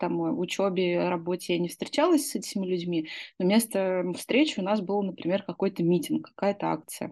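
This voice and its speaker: Lively intonation and a dark, mellow tone from a woman, at a moderate pace. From Russia, Izhevsk. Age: 30s. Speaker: former opposition activist. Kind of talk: personal recollection.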